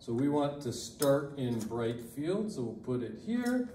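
Speaking at a fairly slow pace, a man is heard with audible room echo over light background noise. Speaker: lab instructor. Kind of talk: tutorial. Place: classroom. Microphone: camera far.

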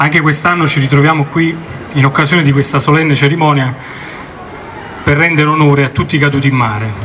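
A man talks at a very fast pace and a fairly high pitch, with long, frequent pauses. His loudness stays very even and his intonation fairly even, over light background noise. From Italy. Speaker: naval officer, commander of the local maritime office. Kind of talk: formal commemorative speech. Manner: formal. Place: street. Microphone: podium.

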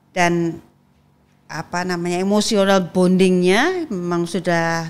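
Her voice fairly low in pitch, a woman speaks with flat, monotone intonation. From Indonesia. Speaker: politician, legislator; guest. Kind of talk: interview conversation. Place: studio. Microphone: studio mic.

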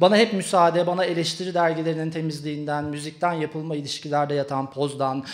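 Against a quiet background, a man speaks with an intense tone and ordinary pitch variation. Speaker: poet. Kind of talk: slam poetry performance. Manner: rapid, intense and declamatory, with sharp defiant delivery. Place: stage. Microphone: handheld.

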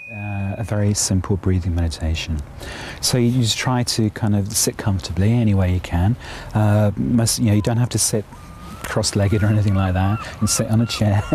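Speaking at a fairly quick pace with very even loudness, a man is heard over noticeable background noise. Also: fairly low pitch for a man, ordinary pitch variation. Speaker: Buddhist meditation teacher. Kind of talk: guided meditation. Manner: halting.

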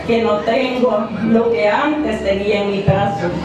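A woman's voice amid noticeable background noise and strong room echo. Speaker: honored senior reciting poem. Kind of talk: poetry reading. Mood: emotional, nostalgic. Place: hall.

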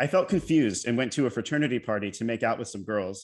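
In a quiet background, a man with an American accent speaks at a fairly quick pace, medium in pitch with ordinary pitch variation. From United States (Maryland). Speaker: poet, PhD student in poetry. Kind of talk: poetry reading. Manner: confessional, narrative. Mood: candid confessional narration. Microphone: video call.

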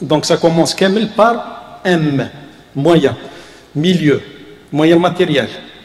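A man with a high pitch and very even loudness, at a very slow pace, with long, frequent pauses and audible room echo. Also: ordinary pitch variation. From Algeria. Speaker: university professor and vice-rector; university professor. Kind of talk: lecture. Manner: halting, many hesitations. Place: hall. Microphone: podium.

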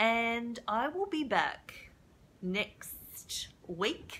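Bright and sharp in tone, a woman speaks in an upbeat way with lively intonation. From Australia. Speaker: craft demonstrator. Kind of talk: live tutorial. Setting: home stamping room, live stream. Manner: chatty, upbeat. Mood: warm, cheerful. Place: home room. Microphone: webcam.

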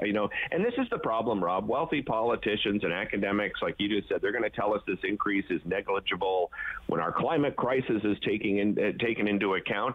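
With a Canadian accent, a man speaks at a fairly quick pace in a fairly low pitch, with ordinary pitch variation and very even loudness, over noticeable background noise. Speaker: TV host. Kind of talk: casual chat. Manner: halting, many fillers.

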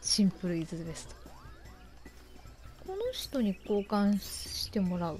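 Music plays in the background as a woman talks at a fairly slow pace, with long, frequent pauses and big swings in loudness. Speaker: game streamer. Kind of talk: let's play commentary.

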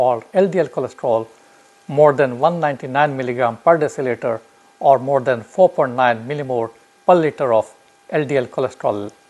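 Speaking fairly slowly, a man uses ordinary pitch variation. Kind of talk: explainer to camera. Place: home room. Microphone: lapel.

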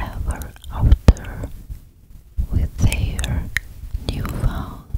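Whispering is all a woman does here. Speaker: ASMR storyteller. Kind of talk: whispered storytelling. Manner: slow gentle whisper. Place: home room. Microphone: studio mic.

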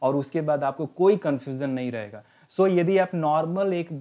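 A man's fairly high-pitched voice with a dark, mellow tone and ordinary pitch variation, over a quiet background. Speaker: English teacher and retired navy veteran. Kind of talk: lecture. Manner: instructive, mixing Hindi and English.

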